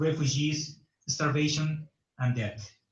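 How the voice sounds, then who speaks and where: This man speaks with a Bolivian accent. His pitch is fairly high. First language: Spanish. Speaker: conference organizer. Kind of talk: welcome speech read aloud. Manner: formal.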